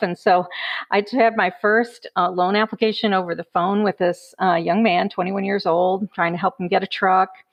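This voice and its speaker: Speaking at a fairly quick pace, a woman with an American accent uses a plain, everyday voice at a medium pitch with fairly even intonation. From US Midwest, Chicago. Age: 60s. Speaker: credit union banker. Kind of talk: casual interview.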